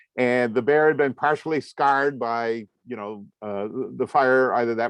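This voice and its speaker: In a dry, close recording with no echo and a quiet background, a man with an American accent has an unremarkable speaking voice, ordinary pitch variation and a moderate pace. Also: big swings in loudness. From US Northeast, Vermont (Waterbury area). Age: 60s. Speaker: comics artist and lecturer. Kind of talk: lecture. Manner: conversational, with frequent fillers.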